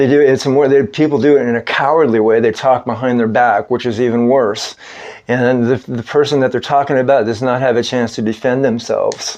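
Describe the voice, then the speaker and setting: Over noticeable background noise, a man speaks at a fairly quick pace with a medium pitch and monotone, flat intonation. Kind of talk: religious talk monologue. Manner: fast; halting, many fillers.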